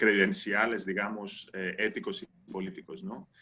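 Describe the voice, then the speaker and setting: A man speaks with a non-native accent in a bright, sharp tone. His pitch is fairly low and his pace fairly slow. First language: not Spanish (speaking Spanish). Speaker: anthropologist. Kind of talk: panel discussion. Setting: video call. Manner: halting, many fillers and repetitions.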